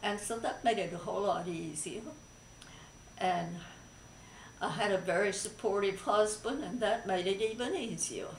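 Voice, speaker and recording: A woman at a moderate pace with ordinary pitch variation, long, frequent pauses, light background noise and audible room echo. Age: 80s+. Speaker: breast cancer survivor. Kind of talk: interview answer. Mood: calm, positive, reflective. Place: home room. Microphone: camera far.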